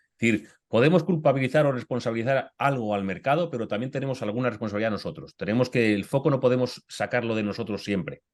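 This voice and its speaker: A man talks at a very fast pace with hardly any pauses, using a medium pitch and ordinary pitch variation. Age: 50s. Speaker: author and career coach. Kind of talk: webinar Q&A discussion. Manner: animated.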